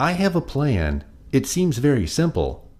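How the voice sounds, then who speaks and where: In a put-on character voice, a man talks at a medium pitch. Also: moderate pace. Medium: read story.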